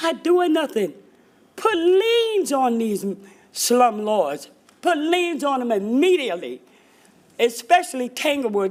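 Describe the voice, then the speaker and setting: A woman speaks at a fairly slow pace in a high voice, swinging very widely in pitch. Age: 70s. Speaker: resident speaking at public comment. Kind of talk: public comment testimony. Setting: city council meeting. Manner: impassioned.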